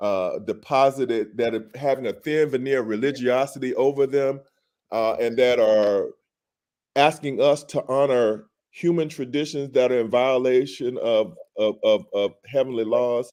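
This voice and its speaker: The speaker has a dark, mellow tone and an American accent, with fairly even intonation. The pace is moderate, and the background is quiet. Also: man, medium pitch for a man. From Alabama, US South. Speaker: physician and activist. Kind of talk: casual chat.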